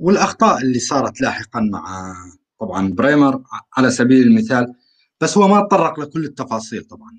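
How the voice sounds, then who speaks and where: A man with a medium-pitched voice talks at a moderate pace. His loudness swings a lot, and his pitch swings very widely. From Syria, rural Aleppo. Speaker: call-in participant. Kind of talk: online panel discussion.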